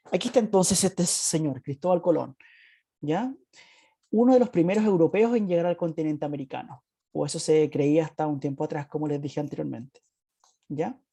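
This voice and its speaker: Over a quiet background, a woman with a dark, mellow tone and fairly low pitch speaks at a fairly quick pace with lively intonation. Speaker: school teacher. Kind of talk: online class lecture. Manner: fast.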